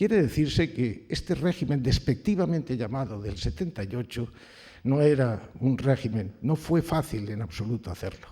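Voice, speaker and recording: Somewhat breathy and dark, mellow in tone, a man speaks at a moderate pace and medium pitch with very wide pitch swings. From Valencia, Spain. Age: 80s+. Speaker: retired judge. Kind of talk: award acceptance speech. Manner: formal.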